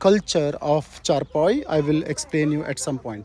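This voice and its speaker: In a Kannada accent, a man speaks at a moderate pace. His pitch is fairly high, with ordinary pitch variation. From South India, Kannada-speaking. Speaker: travel vlogger. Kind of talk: walking travel vlog commentary. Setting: outdoors in a village. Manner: casual, halting with fillers.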